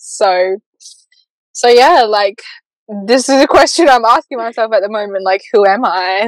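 The speech moves at a moderate pace with ordinary pitch variation and long, frequent pauses, the sound dry and close with no echo. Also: woman, fairly high pitch for a woman. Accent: Australian. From South Australia, Port Lincoln. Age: 20s. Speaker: spiritual coach. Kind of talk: casual chat.

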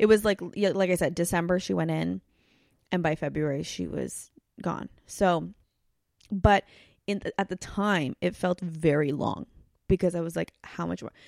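A woman talks at a moderate pace with long, frequent pauses, in a very clean recording with a silent background and a dry, close sound with no echo. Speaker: podcast host. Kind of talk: casual chat.

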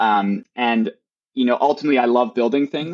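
Here a man talks at a fairly quick pace in a medium pitch. He has an unremarkable speaking voice. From Wisconsin, near Milwaukee. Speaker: startup co-founder. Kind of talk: interview.

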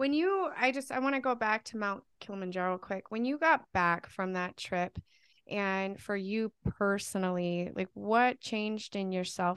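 Against a quiet background, a woman with a medium pitch speaks fairly slowly in a normal speaking voice, the sound dry and close with no echo. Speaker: podcast co-host. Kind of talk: casual interview.

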